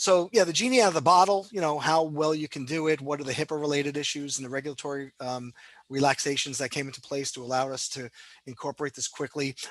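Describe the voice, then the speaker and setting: Against a quiet background, a man speaks at a very fast pace in a fairly high pitch, the sound dry and close with no echo. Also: ordinary pitch variation, big swings in loudness. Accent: New York. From New York. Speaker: cardiologist, health system leader. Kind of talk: interview. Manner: many filler words (um, you know).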